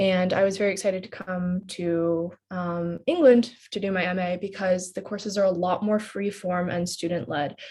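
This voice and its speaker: Speaking with an American accent in a plain, everyday voice, a woman moves at a moderate pace with hardly any pauses and fairly even intonation. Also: medium pitch for a woman. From United States. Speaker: postgraduate student. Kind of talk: personal testimony in a webinar.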